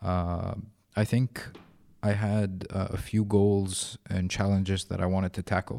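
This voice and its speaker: With an Arabic accent, a man speaks in a dark, mellow tone at a fairly slow pace and in a monotone, flat intonation, with a dry, close sound with no echo on a very clean recording with a silent background. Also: fairly low pitch for a man. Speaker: podcast host. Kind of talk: casual interview chat. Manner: halting, filler-heavy.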